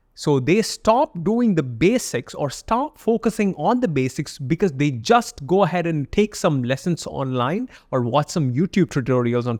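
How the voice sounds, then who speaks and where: At a moderate pace, a man speaks with a fairly high pitch and very wide pitch swings. The sound is dry and close, with no echo. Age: 20s. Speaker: art podcast host. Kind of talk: solo podcast monologue. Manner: casual, conversational.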